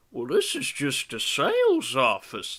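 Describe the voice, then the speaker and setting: A man does a put-on character voice. He speaks at a fairly slow pace. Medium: solo performance. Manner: folksy, plainspoken.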